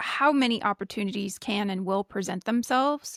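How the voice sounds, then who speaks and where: A woman's ordinary speaking voice at medium pitch with ordinary pitch variation, in a dry, close sound with no echo. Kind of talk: podcast conversation between two hosts.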